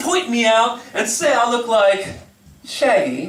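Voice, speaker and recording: A man with an American accent and an extremely high pitch, lively intonation at a fairly slow pace, over noticeable background noise. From Texas. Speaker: slam poet. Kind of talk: performance poetry. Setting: live venue.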